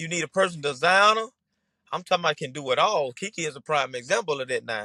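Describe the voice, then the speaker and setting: A man's very fast, animated voice in a strong Mississippi accent, fairly high in pitch with lively intonation and a bright, sharp tone, dry and close with no echo. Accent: Mississippi Southern, strong dialect. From Mississippi, US South. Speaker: Southern Soul singer. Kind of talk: podcast interview.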